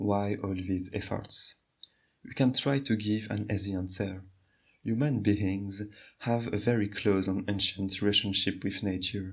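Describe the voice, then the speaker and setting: A man speaks in a French accent at a fairly slow pace, his pitch fairly low and his intonation fairly even. The recording is very clean with a silent background. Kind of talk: video essay narration.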